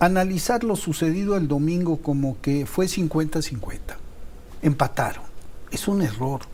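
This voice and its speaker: A man talks at a fairly slow pace with lively intonation, and the room echo is audible. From Mexico. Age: 70s. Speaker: TV producer and political commentator. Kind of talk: heated debate.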